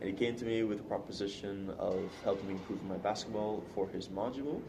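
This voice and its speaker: A man talks at a fairly quick pace with a fairly low pitch. Audible room echo and noticeable background noise surround him. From Sint Maarten. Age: 20s. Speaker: university student. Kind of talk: interview.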